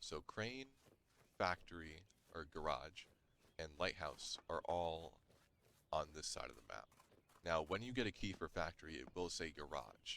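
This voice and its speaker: A man speaks with a very deep, low pitch, a creaky vocal fry and a bright, sharp tone. His intonation is lively, broken by long, frequent pauses. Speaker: gaming youtuber. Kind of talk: gameplay tutorial. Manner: fast.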